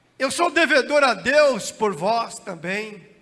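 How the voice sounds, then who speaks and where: Speaking at a very slow pace, a man uses a raised, projected voice with a bright, sharp, shrill tone. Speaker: pastor. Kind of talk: sermon. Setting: church.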